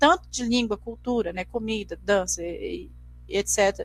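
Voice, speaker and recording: Over a very clean recording with a silent background, a woman speaks at a moderate pace and a fairly high pitch. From Brazil, Mato Grosso do Sul. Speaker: teacher. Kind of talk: lecture. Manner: halting, frequent repetitions.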